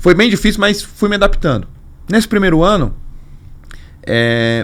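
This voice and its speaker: With a São Paulo accent, a man speaks at a moderate pace using very wide pitch swings. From São Paulo, Brazil. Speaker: carnival league executive. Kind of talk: podcast interview. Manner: animated storytelling.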